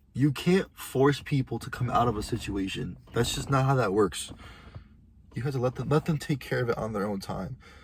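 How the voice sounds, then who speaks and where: Talking at a moderate pace, a man with a medium pitch sounds somewhat breathy and uses ordinary pitch variation. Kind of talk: casual monologue vlog.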